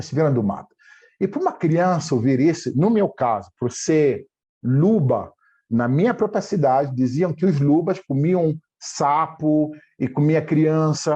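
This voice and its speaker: A man's dark, mellow voice at a fairly high pitch, ordinary pitch variation, and a quiet background. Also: fairly slow pace. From Angola (Dundo, eastern Angola; later Luanda). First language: Chiluba / Chokwe (speaking Portuguese). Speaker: language teacher and entrepreneur. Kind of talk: interview.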